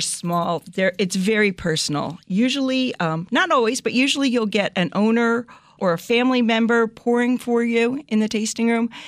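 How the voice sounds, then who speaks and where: In a plain, everyday voice with an American accent, a woman with a fairly high pitch speaks at a moderate pace with ordinary pitch variation, very even loudness and hardly any pauses. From US Northeast, New Jersey. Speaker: vineyard co-owner. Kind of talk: casual interview. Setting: studio.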